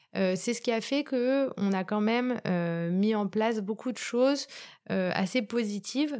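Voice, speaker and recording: A woman speaks with a dark, mellow tone and lively intonation. The recording is very clean, with a silent background. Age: 30s. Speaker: shoe company executive. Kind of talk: interview.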